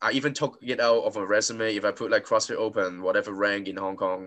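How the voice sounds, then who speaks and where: With a plain, everyday voice, a man speaks at a medium pitch and a moderate pace. His pitch varies in an ordinary way over a quiet background. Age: 20s. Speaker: podcast host and CrossFit coach. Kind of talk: casual interview.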